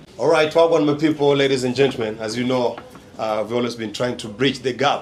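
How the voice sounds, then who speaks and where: A man speaks at a very fast pace at a medium pitch. Noticeable background noise runs beneath him. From Kenya. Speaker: vlogger and property agent. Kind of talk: vlog presenting. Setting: restaurant.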